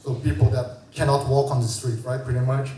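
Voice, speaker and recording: With audible room echo and noticeable background noise, a man speaks at a medium pitch with fairly even intonation. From Brazil. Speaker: designer and founder. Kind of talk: conference talk. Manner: conversational, many fillers.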